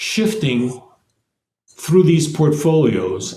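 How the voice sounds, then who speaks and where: Somewhat breathy and dark, mellow in tone, the voice moves at a very slow pace with very wide pitch swings and audible room echo. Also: man. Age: 80s+. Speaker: investment executive. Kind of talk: interview. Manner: halting.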